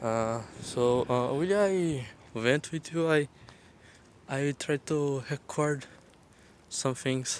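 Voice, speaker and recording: A man with a Portuguese accent talks at a fairly high pitch with ordinary pitch variation. His pace is very slow, with long, frequent pauses. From Brazil. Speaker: content creator. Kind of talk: vent video. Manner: halting.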